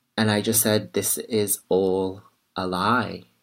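A man in a Liverpool accent, very slow pace and monotone, flat intonation. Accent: Liverpool (Scouse). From Liverpool, northern England. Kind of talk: interview conversation.

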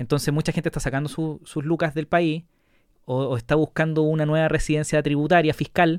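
A man with a Chilean accent, fairly high in pitch, at a moderate pace, in a dry, close sound with no echo. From Chile, La Serena. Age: 30s. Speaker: podcast host. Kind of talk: casual interview chat.

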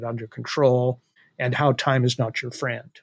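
Somewhat breathy and of medium pitch, a man's voice sounds dry and close with no echo. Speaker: panel regular and policy scholar. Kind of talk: political roundtable discussion.

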